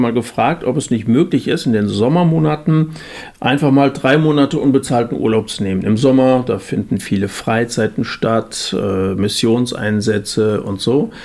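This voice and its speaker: In an ordinary speaking voice, a man uses lively intonation at a medium pitch and a moderate pace. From Germany, central Hesse. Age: 50s. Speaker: evangelist. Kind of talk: casual chat.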